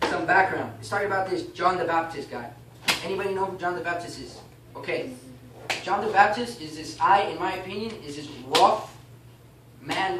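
A man's high voice at a moderate pace, with long and frequent pauses, ordinary pitch variation, big swings in loudness, audible room echo and noticeable background noise. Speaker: class teacher. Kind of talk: bible class teaching, reading aloud and explaining. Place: classroom. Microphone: camera far.

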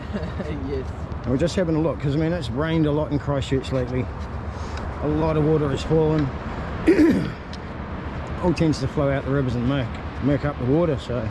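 A man speaks at a moderate pace, the sound dry with no echo but with noticeable background noise. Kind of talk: casual vlog chat. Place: beach. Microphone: phone near.

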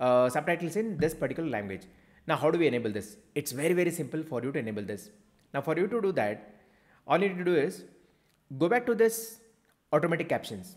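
This man's fairly high pitch leaps in very wide swings as he talks very fast, broken by long, frequent pauses and touched with vocal fry. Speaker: YouTube coach. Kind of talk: tutorial.

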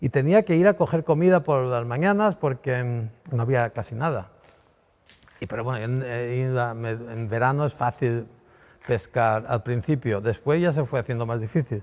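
This man talks at a fairly slow pace. His pitch varies in an ordinary way. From Mallorca. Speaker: painter; interviewee. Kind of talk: interview answer. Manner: rambling, hesitant. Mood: relaxed, reminiscing. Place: workshop. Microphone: lapel.

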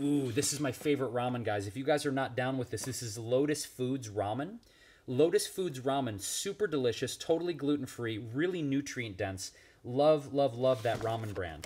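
Against light background noise, a man talks at a moderate pace with ordinary pitch variation. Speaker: vegan cooking vlogger. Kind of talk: casual vlog chat, kitchen tour. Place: kitchen. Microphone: phone near.

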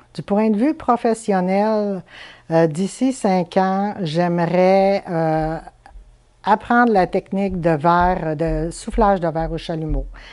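A woman's very slow, fairly low voice with a dark, mellow tone. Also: quiet background. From Quebec, Chibougamau; Quebec. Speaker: stained-glass artisan. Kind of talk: interview. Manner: hesitant, many fillers. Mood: calm, thoughtful. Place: home room. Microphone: lapel.

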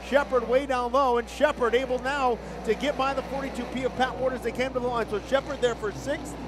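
Through noticeable background noise, a man speaks at an extremely high pitch and a fairly quick pace. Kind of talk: race call. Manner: fast, rapid-fire play-by-play; energetic, excited.

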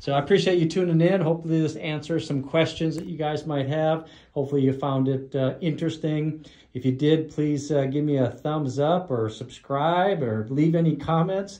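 Against a quiet background, a man speaks at a moderate pace. His intonation is fairly even. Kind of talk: casual vlog chat. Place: studio. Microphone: phone near.

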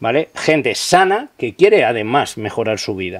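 A man speaking fairly slowly against a quiet background. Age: 40s. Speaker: police officer; interview guest. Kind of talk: interview. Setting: outdoors. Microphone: studio mic.

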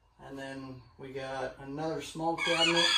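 With light background noise and audible room echo, a man speaks very slowly in a fairly even intonation. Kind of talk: casual vlog chat. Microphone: camera far.

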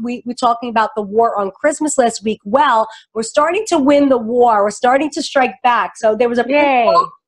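A woman speaks with an American accent and a high pitch. Her pitch varies in an ordinary way over a quiet background. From New York. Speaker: political talk show host. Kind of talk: casual political chat. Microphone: studio mic.

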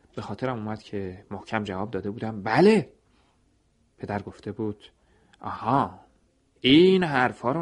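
The background stays quiet. In it, a man talks at a moderate pace, his intonation lively. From Iran. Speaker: radio storyteller. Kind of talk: scripted narration. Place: studio.

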